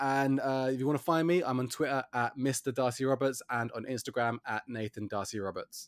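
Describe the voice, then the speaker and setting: This is an unremarkable speaking voice of a man at medium pitch with fairly even intonation. He talks at a fairly quick pace with hardly any pauses. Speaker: podcast host. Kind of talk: casual chat. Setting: remote recording from isolation.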